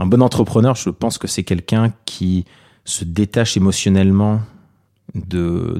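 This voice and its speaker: A dark, mellow tone carries this voice, and its intonation stays fairly even. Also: man, very clean recording, silent background. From Paris, France. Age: 30s. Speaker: tech entrepreneur. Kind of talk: interview monologue.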